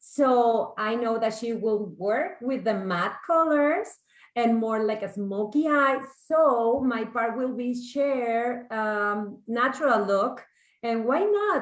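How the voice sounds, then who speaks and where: Amid audible room echo, a woman with a Mexican accent speaks at a very slow pace in a fairly high pitch with ordinary pitch variation. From Mexico. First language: Spanish. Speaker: makeup artist and salon owner. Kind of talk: makeup tutorial.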